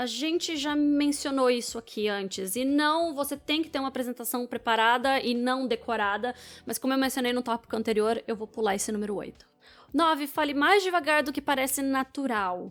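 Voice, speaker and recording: With music in the background, a woman talks in a high voice whose pitch varies in an ordinary way. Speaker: public speaking coach. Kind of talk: video commentary. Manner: fast; energetic.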